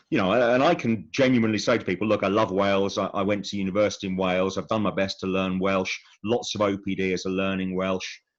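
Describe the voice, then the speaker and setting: A man with a southern English accent talks very fast at a fairly low pitch. His intonation stays fairly even over a quiet background. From England, Buckinghamshire. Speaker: smallholder and self-builder. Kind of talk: interview. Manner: halting, many repetitions and fillers.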